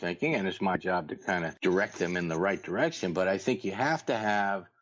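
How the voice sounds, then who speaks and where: A man with a fairly low pitch and an unremarkable speaking voice. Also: hardly any pauses, very even loudness. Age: 60s. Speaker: golf professional and instructor. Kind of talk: podcast interview. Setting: podcast.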